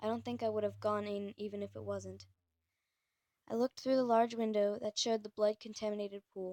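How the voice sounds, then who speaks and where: Recorded dry and close with no echo, a woman speaks at a medium pitch in a dark, mellow tone with fairly even intonation. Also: fairly quick pace. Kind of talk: creepypasta story reading. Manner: some stuttering.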